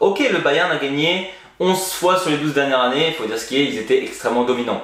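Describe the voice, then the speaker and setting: A fairly high-pitched man talks at a fairly quick pace. There is audible room echo and noticeable background noise. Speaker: football YouTuber. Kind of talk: video commentary monologue. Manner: casual.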